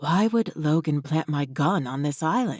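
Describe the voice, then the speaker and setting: In a put-on character voice at middle pitch, the speaker moves at a moderate pace. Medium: read story.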